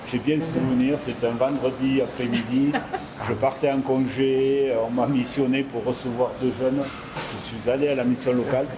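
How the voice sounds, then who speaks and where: A man with a medium pitch talks at a fairly slow pace in a monotone, flat intonation. Audible room echo and noticeable background noise fill the recording. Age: 60s. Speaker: supermarket manager and mentor. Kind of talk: interview testimony.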